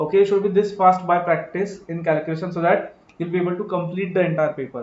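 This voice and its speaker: A man talks at a very fast pace with a high pitch. His intonation stays fairly even. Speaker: accounting exam teacher. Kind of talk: live online lecture. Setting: live stream class.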